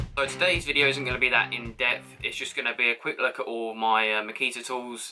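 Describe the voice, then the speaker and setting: Music plays in the background as a man with an English accent speaks at a fairly quick pace. He leaves hardly any pauses. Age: young. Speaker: carpenter. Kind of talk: casual tool review to camera. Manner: hesitant, casual.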